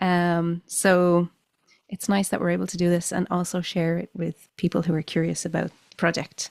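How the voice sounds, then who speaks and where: Speaking in a Dublin accent, a woman uses a fairly low pitch and a monotone, flat intonation at a moderate pace. The recording is very clean and dry, close with no echo and a silent background. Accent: Dublin Irish. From Ireland, Dublin. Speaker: musician. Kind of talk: casual chat.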